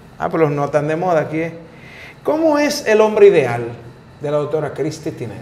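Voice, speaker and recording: The speaker talks at a moderate pace with ordinary pitch variation. Long pauses come often. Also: man, fairly high pitch for a man. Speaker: talk show host. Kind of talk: casual interview chat. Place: studio. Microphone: lapel.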